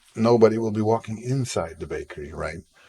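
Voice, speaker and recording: A man with a Dutch accent, medium in pitch, at a moderate pace. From Netherlands. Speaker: indie game developer and streamer. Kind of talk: live stream chat while coding.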